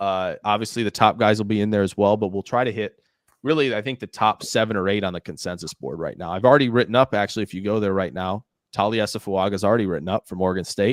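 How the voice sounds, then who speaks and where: Very fast and fairly low-pitched, a man speaks with ordinary pitch variation, captured in a dry, close sound with no echo on a very clean recording with a silent background. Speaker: NFL draft channel host. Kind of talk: live stream casual chat. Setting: live stream with co-host. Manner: rambling, fast.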